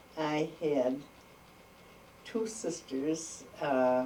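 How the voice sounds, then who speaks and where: A woman with an American accent speaks in a very deep, low voice. Audible room echo and noticeable background noise fill the recording. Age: 80s+. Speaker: oral history interviewee. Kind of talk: oral history interview. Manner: halting.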